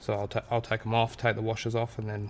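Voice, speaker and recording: A man speaks very fast in a somewhat breathy voice. His pitch is medium and his intonation is flat and monotone. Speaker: car mechanic vlogger. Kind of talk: workshop tutorial. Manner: soft-spoken.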